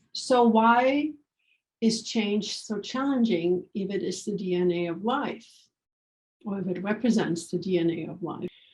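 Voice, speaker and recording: Her pitch medium and its variation ordinary, a woman speaks at a fairly slow pace in a somewhat breathy voice. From Germany. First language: German. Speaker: organizational change consultant. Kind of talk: workshop promo talk. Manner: hesitant with fillers.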